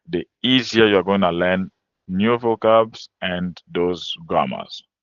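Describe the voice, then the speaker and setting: Fairly low-pitched, this man talks at a very slow pace with ordinary pitch variation. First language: French. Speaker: French language teacher. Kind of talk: webinar lecture.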